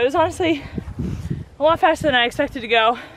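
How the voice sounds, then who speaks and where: The sound is dry with no echo. A woman speaks over loud background noise. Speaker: runner vlogger. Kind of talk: casual vlog chat. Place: stadium. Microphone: phone near.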